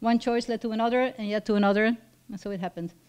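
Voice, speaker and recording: A woman with a Belgian accent and ordinary pitch variation. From Flanders, Belgium. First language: Dutch (Flemish). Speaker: professor. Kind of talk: personal talk read from notes.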